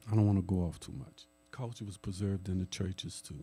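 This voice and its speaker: A man speaks in a New Orleans accent with music in the background. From New Orleans, Louisiana. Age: 60s. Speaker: jazz historian. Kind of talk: lecture. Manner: conversational.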